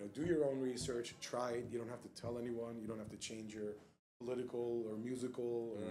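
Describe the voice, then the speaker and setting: At a fairly quick pace, a man with an American accent speaks at medium pitch, with audible room echo. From New York and South Florida. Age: 30s. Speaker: vegan restaurant owner. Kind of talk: casual interview chat. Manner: animated.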